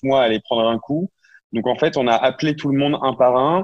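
A man with an ordinary speaking voice talks at a moderate pace, with a medium pitch and ordinary pitch variation. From northern France, Lille. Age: 20s. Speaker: startup co-founder. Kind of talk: interview.

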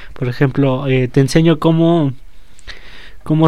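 The man talks with a fairly high pitch and fairly even intonation. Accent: Mexican. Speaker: rapper and co-host. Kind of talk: casual chat.

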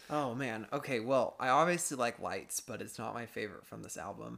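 A man speaks with an American accent and a bright, sharp tone. His pitch variation is ordinary, and the recording is very clean with a silent background. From Florida. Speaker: guest, music fan. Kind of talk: casual chat.

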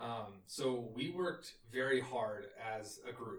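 This man speaks in a Texan accent at medium pitch. His voice is somewhat breathy. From Texas, near Austin. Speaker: engineer recounting a service trip. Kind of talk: casual chat.

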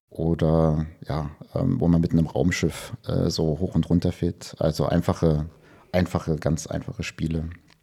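A man's very deep, low voice, dark and mellow in tone, with ordinary pitch variation at a moderate pace. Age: 40s. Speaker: computer vision professor. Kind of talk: casual interview. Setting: video call.

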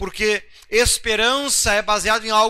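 The voice is raised and projected, bright and sharp in tone, moving at a fairly slow pace with fairly even intonation. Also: man. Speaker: pastor. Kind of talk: bible study sermon. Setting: livestream broadcast. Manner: conversational, rhetorical asides.

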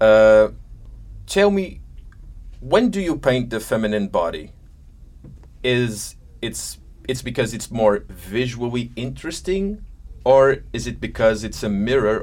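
A man with a Portuguese accent talks at a fairly slow pace, with long, frequent pauses. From Madeira, Portugal. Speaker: talk show host. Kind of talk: interview. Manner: halting.

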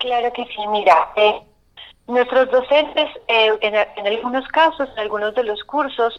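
The pace is fairly slow, with ordinary pitch variation. A plain, everyday voice. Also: woman. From Colombia, not Antioquia. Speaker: arts course coordinator. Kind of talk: radio interview.

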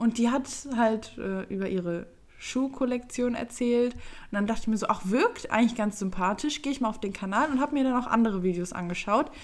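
It is a plain, everyday voice. The pace is fairly quick, with ordinary pitch variation. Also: woman, fairly high pitch for a woman. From Germany, Düsseldorf. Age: 20s. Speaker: YouTuber and podcast co-host. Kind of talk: casual chat.

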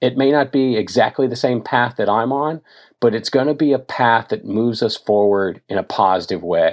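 A man with an unremarkable speaking voice, an American accent, medium pitch, ordinary pitch variation and a moderate pace. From Tennessee, US South. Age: 50s. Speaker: endurance athlete and ocean advocate. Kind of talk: interview conversation.

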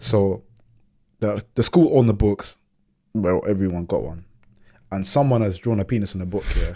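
A man with a London accent, fairly low pitch and a dark, mellow tone, ordinary pitch variation and long, frequent pauses. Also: moderate pace. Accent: London multicultural youth English. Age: 30s. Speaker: podcast host. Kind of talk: casual chat. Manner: relaxed, slangy.

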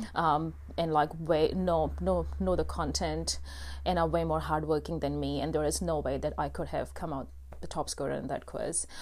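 An Indian accent comes through. The speech keeps a moderate pace. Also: woman. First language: Hindi. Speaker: podcast host. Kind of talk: solo personal monologue. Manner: casual with many fillers.

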